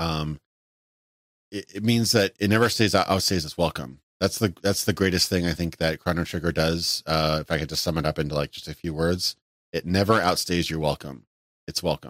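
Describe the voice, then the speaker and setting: A man's voice sits very deep and low in pitch. He talks at a fairly quick pace, in a dry, close sound with no echo. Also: ordinary pitch variation. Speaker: YouTube gaming streamer and podcaster. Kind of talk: solo unscripted live stream talking about favorite games. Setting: live stream. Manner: casual, rambling, filler-heavy.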